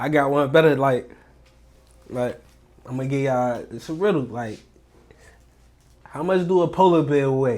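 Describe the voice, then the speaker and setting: A man with a D.C. accent speaks in an animated tone at a fairly high pitch and moderate pace. He leaves long, frequent pauses, and his pitch variation is ordinary. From Washington, D.C. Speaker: real estate wholesaler, online money creator. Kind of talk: casual chat and tips. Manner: animated, casual slang.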